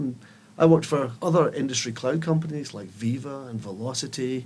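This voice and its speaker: With a Scottish accent, a man speaks in a somewhat breathy voice with ordinary pitch variation and audible room echo. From Scotland. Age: 50s. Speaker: tech company CEO. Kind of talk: podcast interview. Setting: studio.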